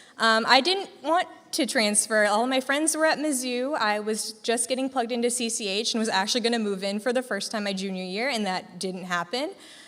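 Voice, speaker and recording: In a normal speaking voice, a woman with an American accent and a fairly high pitch talks with ordinary pitch variation in a very clean recording with a silent background. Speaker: graduating nursing student. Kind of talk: farewell speech to student group. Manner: casual, filler-heavy.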